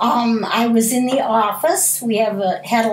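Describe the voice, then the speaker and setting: Fairly high in pitch and somewhat breathy, a woman with an American accent speaks at a fairly slow pace with fairly even intonation, and audible room echo surrounds her. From US Midwest, Pontiac, Michigan. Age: 60s. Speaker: school food service worker. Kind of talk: interview.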